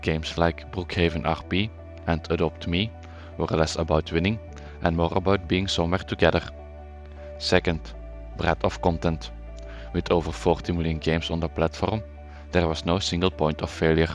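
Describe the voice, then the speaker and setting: A man's very deep, low pitch with ordinary pitch variation, a moderate pace, and long, frequent pauses, with music in the background. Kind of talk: documentary narration.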